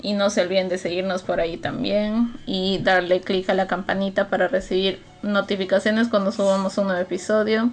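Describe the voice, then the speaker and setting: This woman has a normal speaking voice and a medium pitch. She talks at a moderate pace with fairly even intonation and hardly any pauses. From Peru. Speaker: podcast co-host. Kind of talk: casual chat.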